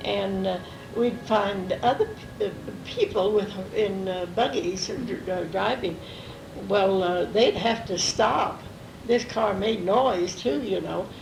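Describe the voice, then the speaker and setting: A very slow pace with long, frequent pauses over noticeable background noise. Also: woman. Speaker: grandmother telling family stories. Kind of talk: recorded family interview, reminiscing. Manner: hesitant, many fillers.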